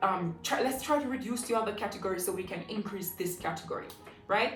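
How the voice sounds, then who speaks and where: The speaker talks very fast with ordinary pitch variation. Noticeable background noise and audible room echo fill the recording. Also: woman. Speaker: personal finance YouTuber. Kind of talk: vlog-style money advice talk. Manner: passionate, forceful; emphatic, urgent.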